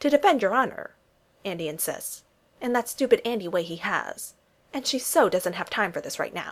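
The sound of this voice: With lively intonation, the text is read in an unforced reading voice.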